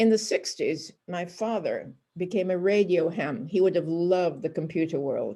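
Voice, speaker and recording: A woman speaks with a dark, mellow tone. Her pitch is fairly low. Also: very clean recording, silent background. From northern England. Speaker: Holocaust survivor. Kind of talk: lecture.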